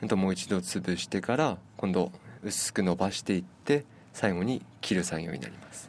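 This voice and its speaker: A man with a very deep, low voice speaks at a moderate pace, his intonation lively and his loudness swinging widely. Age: 30s. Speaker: udon shop owner and noodle maker. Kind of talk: radio interview. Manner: halting, with fillers.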